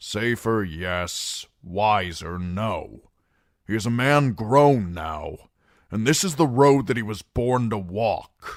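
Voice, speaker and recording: Putting on a character voice, a man of medium pitch speaks very slowly with lively intonation. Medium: read story. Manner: terse, commanding.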